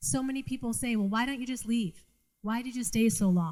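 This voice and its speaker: In a Boston accent, a woman speaks at a fairly quick pace with a dark, mellow, somewhat breathy tone and ordinary pitch variation. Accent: Boston North Shore. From Massachusetts North Shore, Revere/Saugus. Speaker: trafficking survivor and speaker. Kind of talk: testimony. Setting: live event with audience.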